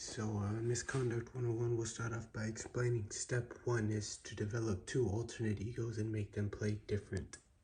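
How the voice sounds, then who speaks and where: With a dark, mellow tone and medium pitch, a man speaks in a somewhat breathy, monotone voice with flat intonation. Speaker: online tutorial creator. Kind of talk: tutorial.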